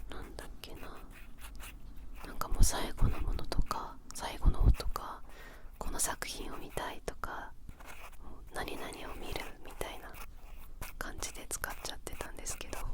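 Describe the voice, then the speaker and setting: Whispering in a relaxed tone, a woman speaks with big swings in loudness and long, frequent pauses over noticeable background noise. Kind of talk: ASMR whispered chat. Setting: studio. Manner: soft-spoken, slow, relaxed.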